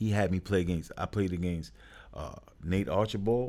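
At a moderate pace, a man with a New York accent talks in a fairly low pitch with ordinary pitch variation. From New York, Brooklyn. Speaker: youth sports coach and program founder. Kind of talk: casual interview.

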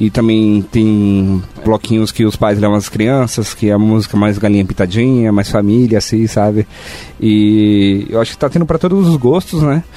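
Noticeable background noise sits under speech that keeps very even loudness, a moderate pace and ordinary pitch variation. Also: man, fairly low pitch for a man. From São Paulo. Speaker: software company employee. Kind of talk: casual chat.

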